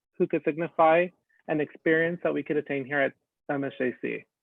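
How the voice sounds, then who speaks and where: At a moderate pace, a man speaks in an ordinary speaking voice, fairly high in pitch, with fairly even intonation. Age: 20s. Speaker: student government candidate. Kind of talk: campaign speech. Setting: video call.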